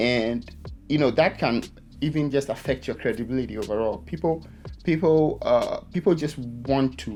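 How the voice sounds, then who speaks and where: Music plays in the background while the speaker keeps a moderate pace. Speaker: photographer and videographer youtuber. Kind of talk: talking-head vlog to camera. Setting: speaking to camera. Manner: halting, repeated words.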